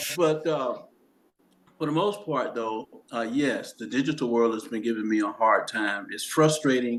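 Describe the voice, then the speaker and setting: A man at a moderate pace with a Southern US accent. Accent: Southern US (Georgia). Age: 70s. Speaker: documentary co-director. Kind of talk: casual chat.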